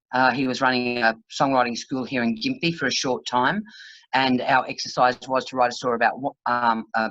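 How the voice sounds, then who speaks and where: A woman speaks with an Australian accent at a moderate pace. Her pitch is very deep and low. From Queensland, Australia (Brisbane). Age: 60s. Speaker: country singer-songwriter. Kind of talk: casual interview. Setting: video call.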